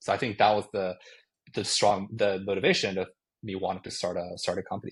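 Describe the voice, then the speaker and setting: A man with a Japanese accent at a fairly low pitch, flat monotone, very fast pace, quiet background. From Japan (Tokyo). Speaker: tech startup founder. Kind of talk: podcast interview. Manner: casual, with frequent fillers.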